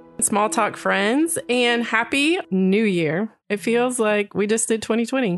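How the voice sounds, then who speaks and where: The speaker talks at a fairly slow pace with hardly any pauses. Loudness stays very even, the intonation is lively, and music plays in the background. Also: woman, fairly high pitch for a woman. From Texas. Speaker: podcast co-host, writer. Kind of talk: casual chat.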